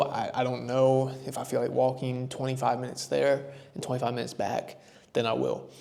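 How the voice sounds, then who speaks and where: With an American accent, the speaker goes at a fairly quick pace in a monotone, flat delivery, with audible room echo. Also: man. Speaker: travel vlogger. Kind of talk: casual vlog recap. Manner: loud; casual, chatty.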